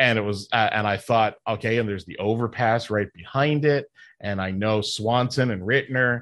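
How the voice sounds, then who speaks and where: A man with a Canadian accent and an ordinary speaking voice talks at a fairly slow pace, medium pitch, and ordinary pitch variation against a quiet background. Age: 50s. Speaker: podcast host and professional wrestler. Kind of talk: casual chat.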